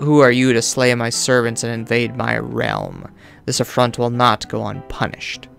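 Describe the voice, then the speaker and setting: A man performs a booming, put-on character voice at medium pitch and a moderate pace while clear music plays in the background. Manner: menacing.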